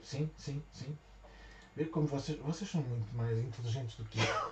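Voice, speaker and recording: This soft-spoken man talks at a fairly slow pace with ordinary pitch variation. Noticeable background noise runs behind him. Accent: European Portuguese. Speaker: craft shop owner. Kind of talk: live tutorial. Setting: livestream. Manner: halting.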